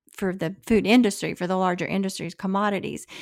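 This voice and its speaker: A woman uses a normal speaking voice at medium pitch with fairly even intonation. The recording is very clean, with a silent background. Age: 60s. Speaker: podcast co-host, brand founder. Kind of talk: casual interview conversation.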